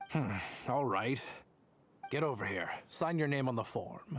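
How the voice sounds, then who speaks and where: A put-on character voice at a low-to-middle pitch moves along at a moderate pace. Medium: video game. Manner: probing, curt.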